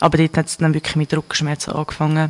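A woman's fairly low voice with a Swiss accent. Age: 20s. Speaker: interview guest sharing personal experience. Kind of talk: personal interview.

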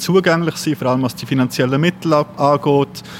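A man talks at a moderate speed with ordinary pitch variation while noticeable noise sounds in the background. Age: 30s. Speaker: cultural venue volunteer. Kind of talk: interview.

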